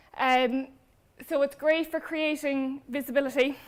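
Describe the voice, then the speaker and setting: A woman speaks with a Cork accent. Her pace is very slow. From Ireland, Cork. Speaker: brand manager. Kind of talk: conference talk.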